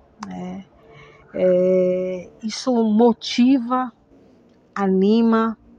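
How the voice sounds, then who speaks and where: A woman speaks at a medium pitch and a very slow pace, leaving long, frequent pauses. Her intonation is fairly even, and noticeable background noise is present. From Manaus, Amazonas, northern Brazil. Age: 50s. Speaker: historian, theatre actress and arts educator. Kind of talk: personal testimony. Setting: recorded at home.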